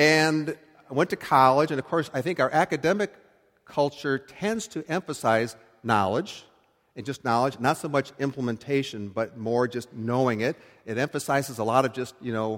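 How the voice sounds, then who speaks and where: Here is an unremarkable speaking voice with an American accent. It moves at a moderate pace with lively intonation. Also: man. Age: 60s. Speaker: pastor. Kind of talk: sermon. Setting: church. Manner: conversational.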